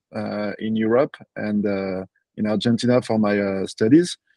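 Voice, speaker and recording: A man with a strong French accent speaks at a moderate pace in a fairly low pitch, his tone dark and mellow and his intonation fairly even, with a dry, close sound and no echo. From France (Paris). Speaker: property entrepreneur. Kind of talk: podcast interview. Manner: halting, many fillers.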